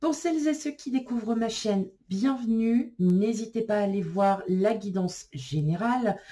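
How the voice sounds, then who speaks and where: At a fairly slow pace, a woman talks in a dark, mellow tone. Her voice is somewhat breathy. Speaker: tarot card reader. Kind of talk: tarot reading video. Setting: filmed on camera. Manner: casual, hesitant with fillers.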